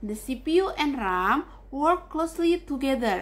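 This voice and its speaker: Through noticeable background noise, a woman with an Indonesian accent speaks at a high pitch with lively intonation. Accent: Javanese-accented English. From Java, Indonesia. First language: not English. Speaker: university student. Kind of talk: class presentation.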